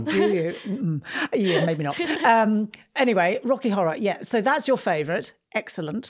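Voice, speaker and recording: Very wide pitch swings mark this moderately paced voice over a quiet background. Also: woman, medium pitch for a woman. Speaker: podcast co-host, host's mother. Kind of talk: casual podcast conversation. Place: studio. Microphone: studio mic.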